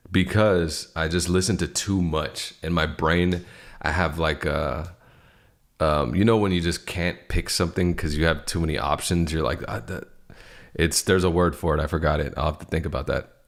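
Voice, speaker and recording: Speaking at a moderate pace with fairly even intonation, a man with a Californian accent has a very deep, low pitch on a very clean recording with a silent background. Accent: Californian American. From US West Coast, Daly City, California. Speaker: music content creator. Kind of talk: livestream Q&A. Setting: livestream. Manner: casual, halting. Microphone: new streaming mic with plugins.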